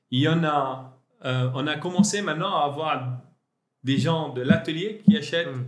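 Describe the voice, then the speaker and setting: A man's fairly high voice with lively intonation at a very slow pace, with audible room echo. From Lebanon. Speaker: entrepreneur. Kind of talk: interview. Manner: halting.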